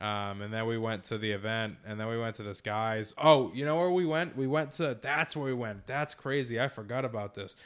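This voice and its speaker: With a slight Boston accent, a man at medium pitch speaks at a fairly quick pace with ordinary pitch movement and hardly any pauses, on a very clean recording with a silent background. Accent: slight Boston accent on certain words. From Massachusetts. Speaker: digital marketing company founder. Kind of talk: casual interview.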